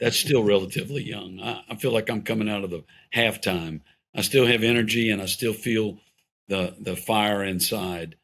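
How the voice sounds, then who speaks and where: This man has an unremarkable speaking voice, fairly low in pitch, with ordinary pitch variation at a moderate pace. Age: 60s. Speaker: pro-family policy organization leader. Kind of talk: podcast interview conversation.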